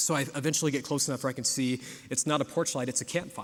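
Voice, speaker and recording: This man talks in an American accent at a fairly high pitch. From US South (South Georgia). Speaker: preacher. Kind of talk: sermon. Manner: casual storytelling with frequent fillers and repeats.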